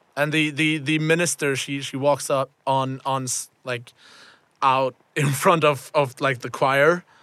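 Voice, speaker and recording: Slow-paced and monotone, a man talks in a bright, sharp tone at a fairly high pitch with flat intonation. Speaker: game master and host of a tabletop roleplaying podcast. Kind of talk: tabletop roleplaying game session, casual chat. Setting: student radio studio.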